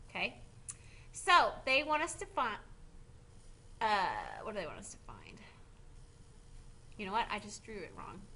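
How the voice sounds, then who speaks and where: In a room with audible echo, a woman with a bright, sharp tone talks at a moderate pace, her loudness swinging widely and her pauses long and frequent. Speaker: high school math teacher. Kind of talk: video lecture tutorial.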